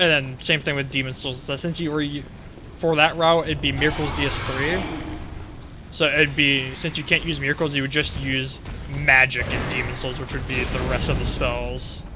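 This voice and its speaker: Music in the background and audible room echo behind a man with a fairly high pitch and monotone, flat intonation. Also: moderate pace. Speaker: gaming streamer. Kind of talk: casual live stream commentary.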